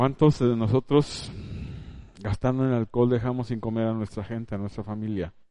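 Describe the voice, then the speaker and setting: In an ordinary speaking voice, a man talks at a moderate pace and medium pitch. His intonation stays fairly even. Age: 50s. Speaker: preacher. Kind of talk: sermon.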